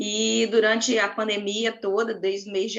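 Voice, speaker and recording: With an inland Rio de Janeiro accent, a woman speaks at a fairly slow pace in a medium pitch. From inland Rio de Janeiro state, Brazil. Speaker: school psychologist. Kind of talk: panel discussion.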